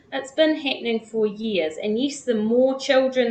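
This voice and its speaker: With a New Zealand accent, a woman speaks at a fairly slow pace. Her pitch is fairly high, with ordinary variation. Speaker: former cult member and teacher. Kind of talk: interview.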